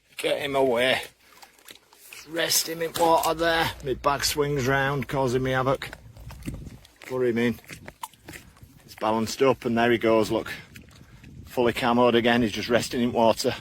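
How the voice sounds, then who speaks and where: Over noticeable background noise, a man speaks at a moderate pace and medium pitch with fairly even intonation and long, frequent pauses. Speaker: angler vlogger. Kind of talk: casual outdoor vlog commentary. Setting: outdoors on a lake bank. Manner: hesitant with fillers.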